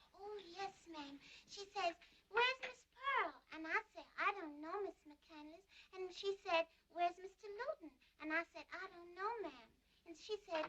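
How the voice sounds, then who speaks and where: A woman uses a put-on character voice that is squeaky and extremely high-pitched. She speaks at a moderate pace with lively intonation and big swings in loudness. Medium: short film. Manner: rambling, slow, repetitive.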